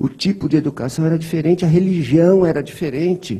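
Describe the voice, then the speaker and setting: The speaker is a man. His pitch is fairly high. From interior of São Paulo state, Brazil. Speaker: spiritist lecturer. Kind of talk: lecture. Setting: spiritist center hall, streamed online. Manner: conversational.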